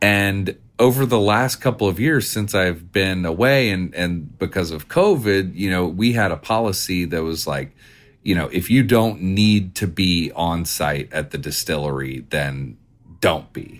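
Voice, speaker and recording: Over a very clean recording with a silent background, a man with a Tennessee accent speaks fairly slowly in a very deep, low pitch with lively intonation. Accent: Tennessee Southern. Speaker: distillery owner. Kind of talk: casual interview. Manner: talkative storyteller.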